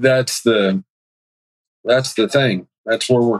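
Recorded dry and close with no echo, a man speaks at a medium pitch and moderate pace with fairly even intonation. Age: 40s. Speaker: masonry contractor. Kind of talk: coaching call.

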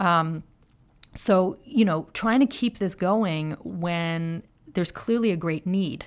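At a very slow pace, a woman with an American accent talks at medium pitch. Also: ordinary pitch variation. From US, Philadelphia. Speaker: author and journalist. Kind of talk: interview.

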